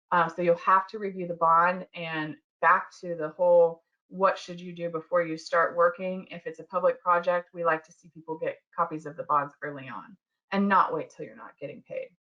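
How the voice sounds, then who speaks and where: Speaking at a moderate pace, a woman with an unremarkable speaking voice and fairly low pitch keeps a fairly even intonation while her loudness swings widely. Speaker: construction law attorney. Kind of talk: webinar presentation. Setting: online webinar.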